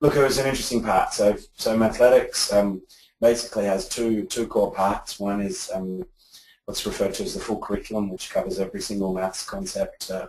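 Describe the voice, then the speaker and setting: A man with an Australian accent, at a fairly quick pace. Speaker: edtech founder, former teacher. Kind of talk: interview. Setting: office. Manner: halting, many repetitions.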